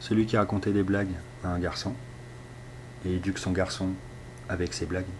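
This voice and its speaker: A man with a very deep, low pitch talks at a fairly quick pace, with fairly even intonation and long, frequent pauses. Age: 40s. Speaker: husband of an abuse survivor. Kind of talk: testimony. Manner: halting.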